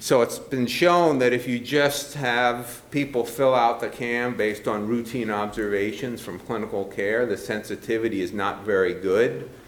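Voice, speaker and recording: Noticeable background noise mixes with audible room echo while a man keeps a moderate pace. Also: medium pitch for a man, ordinary pitch variation. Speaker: physician researcher giving a talk. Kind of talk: lecture. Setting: conference room with audience. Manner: many filler words (uh, um).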